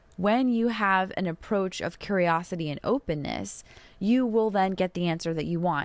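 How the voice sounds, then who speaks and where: An unremarkable speaking voice, a woman's at a fairly low pitch, moves at a fairly quick pace with ordinary pitch variation. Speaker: podcast host and tarot reader. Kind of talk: solo podcast answering listener questions.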